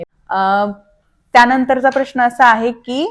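This is a woman speaking. Her pitch is high. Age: 30s. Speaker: vlogger, new mother. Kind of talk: casual vlog talk to camera. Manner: animated.

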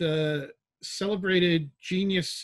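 Against a quiet background, a man speaks in a somewhat breathy voice with fairly even intonation. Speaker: panel moderator. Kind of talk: panel introduction. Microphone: video call.

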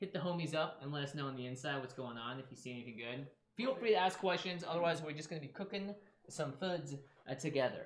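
This somewhat breathy voice rushes along at a very fast pace with ordinary pitch variation, and audible room echo can be heard. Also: man. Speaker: cooking show host. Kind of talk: livestream cooking chat. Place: kitchen.

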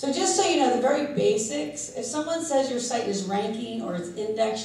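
Using very wide pitch swings, a woman speaks in audible room echo with light background noise. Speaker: SEO consultant and conference speaker. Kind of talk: conference talk. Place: hall.

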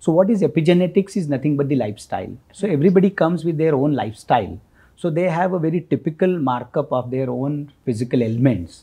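A man's very fast, lively voice, fairly high in pitch, with a dark, mellow, somewhat breathy tone, hardly any pauses, and a quiet background. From India. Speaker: Ayurveda doctor; guest. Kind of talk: expert interview. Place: studio.

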